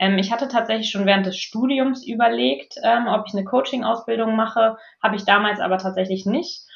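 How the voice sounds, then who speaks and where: Somewhat breathy and fairly high-pitched, a woman talks at a fairly quick pace with ordinary pitch variation. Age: 30s. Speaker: management consultant and coach. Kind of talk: interview.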